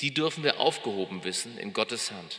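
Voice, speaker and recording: In a normal speaking voice, a man keeps to a moderate pace. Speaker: pastor. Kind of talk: sermon, delivered live to a congregation. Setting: church.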